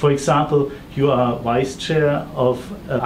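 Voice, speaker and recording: A man talks at a fairly slow pace with ordinary pitch variation. Light background noise can be heard. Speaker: interviewer. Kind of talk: interview introduction and questions. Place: office.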